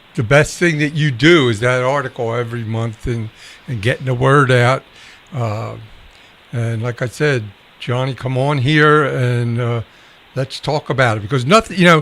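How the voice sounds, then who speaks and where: Here is an unremarkable speaking voice at a moderate pace. The pitch varies in an ordinary way. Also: man, medium pitch for a man. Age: 60s. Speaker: veterans show host. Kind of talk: casual chat. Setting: live stream broadcast.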